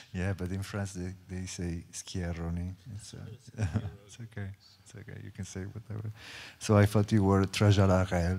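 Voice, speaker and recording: A man's very deep, low voice in an Italian accent, dark and mellow in tone, flat and monotone, with big swings in loudness and long, frequent pauses, on a very clean recording with a silent background. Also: moderate pace. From Italy. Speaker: choreographer. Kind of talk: panel talk. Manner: halting.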